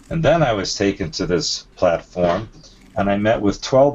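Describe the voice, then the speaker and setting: A man speaks at a moderate pace with lively intonation. Noticeable background noise runs behind him. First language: not English. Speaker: alien abduction experiencer and author. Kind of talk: interview. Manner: halting.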